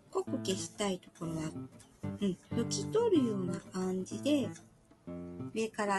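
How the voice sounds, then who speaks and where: A fairly slow pace over music in the background. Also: woman. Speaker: pastel art instructor. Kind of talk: art tutorial talk.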